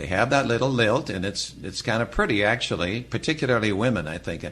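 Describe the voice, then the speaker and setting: In an American accent, a man speaks at a fairly quick pace, with lively intonation and a medium pitch. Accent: lacks the Upper Midwest lilt. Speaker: radio broadcaster.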